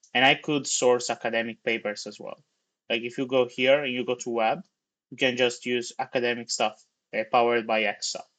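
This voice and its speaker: In an Italian accent, a man at a medium pitch talks at a fairly quick pace with big swings in loudness against a quiet background. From Italy. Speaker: tech livestreamer, software developer. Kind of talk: live coding stream, casual commentary. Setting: livestream. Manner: casual, animated.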